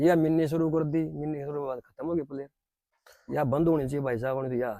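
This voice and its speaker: At a moderate pace, a man speaks with fairly even intonation. He has an ordinary speaking voice with a fairly high pitch. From Haryana. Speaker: former kabaddi player. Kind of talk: interview.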